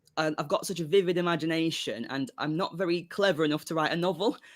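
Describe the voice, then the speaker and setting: A man with a British accent at a fairly quick pace, ordinary pitch variation, in a very clean recording with a silent background. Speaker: songwriter. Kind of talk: casual interview chat. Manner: halting.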